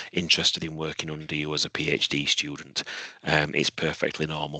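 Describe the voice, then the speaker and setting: Very deep and low, a man's voice has a bright, sharp tone. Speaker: university head of department. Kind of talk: webinar Q&A answer. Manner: repetitive, halting; speaking quietly.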